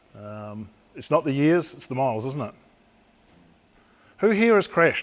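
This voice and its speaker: At a moderate pace, the speaker uses a New Zealand accent with very wide pitch swings. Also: man, fairly high pitch for a man. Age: 60s. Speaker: police crash investigator. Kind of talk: talk to an audience.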